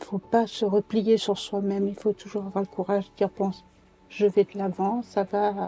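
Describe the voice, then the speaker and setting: With music in the background, a woman speaks at a medium pitch and fairly slow pace, in monotone, flat intonation, with a dry, close sound and no echo. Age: 80s+. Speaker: retired nursing home supervisor; cancer survivor. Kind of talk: documentary interview answer.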